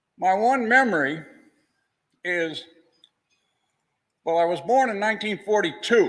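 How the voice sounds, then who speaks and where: A man with an American accent, high in pitch, with lively intonation, a fairly slow pace, long, frequent pauses and audible room echo. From Massachusetts, near Boston. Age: 70s. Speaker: retired historian. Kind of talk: lecture. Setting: classroom with audience, wearing face shield.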